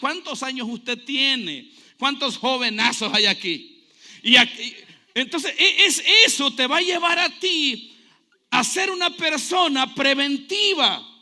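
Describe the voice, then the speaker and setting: A man speaks fairly slowly in a raised, projected voice at an extremely high pitch, his tone bright and sharp and his intonation lively. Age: 40s. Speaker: pastor. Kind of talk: sermon. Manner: animated.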